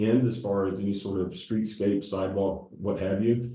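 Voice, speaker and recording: There is audible room echo as a man with an American accent speaks at a moderate pace, his fairly low voice flat and monotone. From US South. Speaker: civil engineer. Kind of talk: public presentation. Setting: council meeting room with audience. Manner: hesitant with many fillers.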